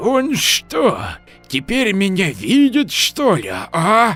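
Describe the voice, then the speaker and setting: A man puts on a character voice that is creaky, raspy and squeaky, pitched high and delivered very slowly. Faint music plays in the background. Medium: audio drama. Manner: cantankerous, folksy.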